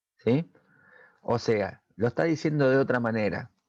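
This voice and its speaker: In an Argentine accent, a man speaks at medium pitch, the sound dry and close with no echo. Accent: Argentine Spanish (Rioplatense). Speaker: technical school teacher. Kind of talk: recorded lesson for students. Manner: hesitant with fillers.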